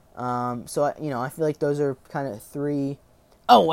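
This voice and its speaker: A man with a fairly high pitch, at a moderate pace, in a dry, close sound with no echo. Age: 20s. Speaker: podcast host. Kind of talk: casual monologue. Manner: halting.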